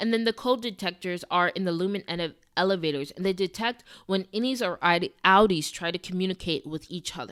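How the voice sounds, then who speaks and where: A woman at a very fast pace and medium pitch with ordinary pitch variation, in a very clean recording, silent background, and dry, close sound with no echo. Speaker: TV commentary YouTuber. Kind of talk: video essay recap.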